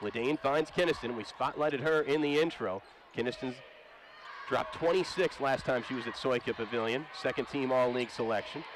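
A man with an American accent and ordinary pitch variation, dry with no echo, amid noticeable background noise. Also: fairly quick pace. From United States. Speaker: sports play-by-play broadcaster. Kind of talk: live sports play-by-play commentary, rapid-fire and studio-broadcast style. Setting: arena broadcast for TV. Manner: polished, upbeat broadcaster cadence. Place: stadium. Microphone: headset.

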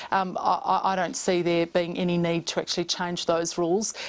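A woman speaks with an Australian accent at a fairly low pitch. Her delivery is fairly quick and monotone, with flat intonation. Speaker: government MP and committee chair. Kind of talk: news interview. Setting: remote studio link. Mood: calm, measured, formal. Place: studio. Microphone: lapel.

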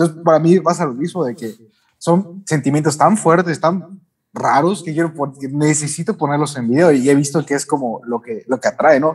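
Somewhat breathy, a man with a fairly high pitch and a Mexican accent talks at a moderate pace with ordinary pitch variation. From Mexico, Yucatán. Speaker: anime YouTuber. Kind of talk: casual chat.

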